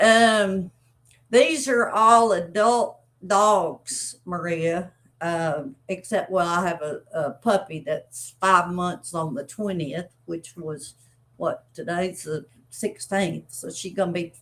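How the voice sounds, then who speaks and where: A woman with an Arkansas accent speaks very slowly at a medium pitch. Her pitch varies in an ordinary way, and her loudness swings widely. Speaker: dog breeder. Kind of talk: live stream chat. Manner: casual, halting with fillers.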